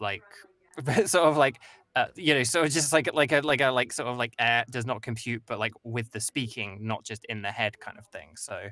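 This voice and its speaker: With an English accent, a man speaks in a bright, sharp tone, with ordinary pitch variation and big swings in loudness. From England. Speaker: voice actor. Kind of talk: casual chat.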